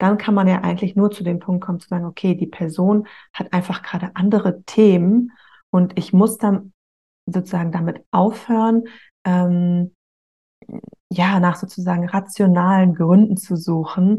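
At a moderate pace with long, frequent pauses, a woman speaks in a somewhat breathy, dark, mellow voice of medium pitch with monotone, flat intonation. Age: 30s. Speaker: author of a breakup journal. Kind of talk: interview.

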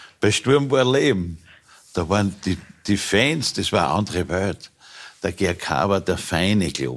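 A man's very deep, low voice with vocal fry and lively intonation, at a fairly slow pace with long, frequent pauses. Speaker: former football club president. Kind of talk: talk show interview.

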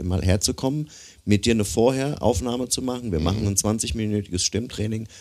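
A man's fairly low, dark and mellow voice with ordinary pitch variation and a fairly quick pace, on a very clean recording with a silent background. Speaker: podcast co-host, musician and voice coach. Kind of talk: casual interview chat. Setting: studio.

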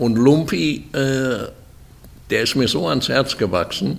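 Lively intonation colors this man's very slow speech. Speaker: horse breeder and sponsor. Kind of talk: interview. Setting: stud farm. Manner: halting.

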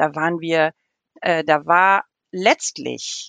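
A woman speaks in a fairly low voice, recorded dry and close with no echo. The background is quiet. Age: 40s. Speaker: theologian. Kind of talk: interview.

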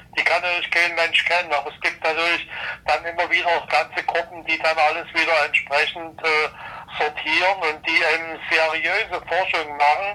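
Noticeable background noise accompanies a man with a high pitch. He keeps a moderate pace and a monotone, flat intonation. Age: 70s. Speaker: retired engineer and climate expert. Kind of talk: interview.

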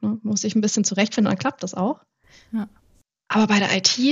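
A woman with a fairly high pitch sounds somewhat breathy as she talks at a moderate pace. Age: 20s. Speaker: IT innovation manager. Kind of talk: podcast interview. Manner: animated.

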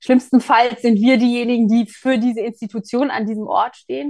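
This woman speaks at a moderate pace. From Mecklenburg, eastern Germany. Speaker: church culture and communications officer. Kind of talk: interview.

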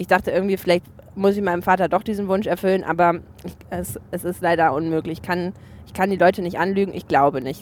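This woman talks very fast. Her intonation holds fairly level. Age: 20s. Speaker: TV journalist. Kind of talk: casual chat. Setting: in a car.

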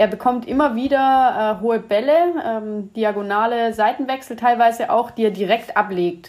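Here is a normal speaking voice: a woman with a fairly high pitch and ordinary pitch variation. She keeps a moderate pace with hardly any pauses. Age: 20s. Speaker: football coach and analyst. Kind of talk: casual chat.

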